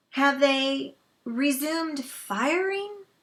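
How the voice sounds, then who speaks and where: A female-sounding voice puts on a character voice pitched high for a woman. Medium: read story.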